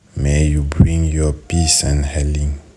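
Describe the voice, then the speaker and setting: Noticeable background noise runs under the recording. A man talks in a very deep, low voice. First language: French. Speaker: prayer leader. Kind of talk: prayer. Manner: halting.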